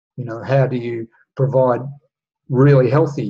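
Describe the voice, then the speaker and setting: A man's dark, mellow voice is somewhat breathy and moves at a moderate pace. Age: 60s. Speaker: astrology and human design teacher. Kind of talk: solo monologue talk.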